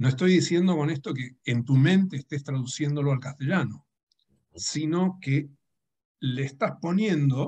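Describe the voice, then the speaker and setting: A man with a fairly high pitch and a dark, mellow, somewhat breathy tone speaks at a fairly slow pace with ordinary pitch variation. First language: Dutch (speaking Spanish). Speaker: writer and translator. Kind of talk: public conversation. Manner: halting.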